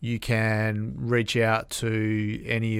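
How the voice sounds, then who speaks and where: In an Australian accent, the speaker delivers everything in a flat monotone over a very clean recording with a silent background. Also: man. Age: 40s. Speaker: construction industry association executive. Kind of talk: interview. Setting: studio.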